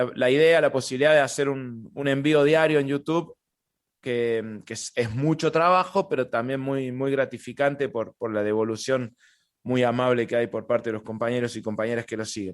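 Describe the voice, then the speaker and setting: A man speaks with a Córdoba Argentine accent and ordinary pitch variation. The background is quiet. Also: medium pitch for a man, moderate pace. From Argentina, Córdoba. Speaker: stand-up comedian. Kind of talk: interview. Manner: halting, many repetitions.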